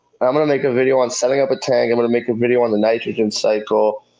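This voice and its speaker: The speech moves at a very fast pace with fairly even intonation. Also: man. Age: 30s. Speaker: fish keeping youtuber. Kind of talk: live stream chat. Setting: live stream on phone. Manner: loud.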